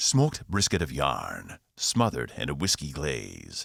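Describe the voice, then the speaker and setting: Putting on a character voice, a man speaks at a moderate pace in a very deep, low pitch. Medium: read story. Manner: formal, weighty, slow.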